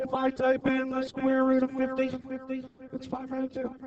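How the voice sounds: A man's put-on character voice, extremely high and monotone, at a moderate pace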